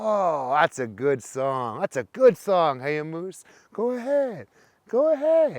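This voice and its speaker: Putting on a character voice, a man speaks fairly slowly at a high pitch with very wide pitch swings. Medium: read story. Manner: teasing.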